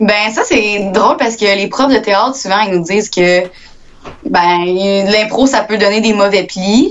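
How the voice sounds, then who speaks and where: A woman's medium-pitched voice at a very slow pace, with very even loudness and ordinary pitch variation. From Quebec, Victoriaville area. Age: young. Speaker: actress and student. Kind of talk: interview.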